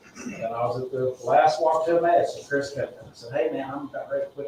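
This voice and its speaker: A man talks at a moderate pace with noticeable background noise in the recording. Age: 50s. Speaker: recovering alcoholic speaking at AA meeting. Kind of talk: testimony. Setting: meeting room, livestreamed. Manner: halting.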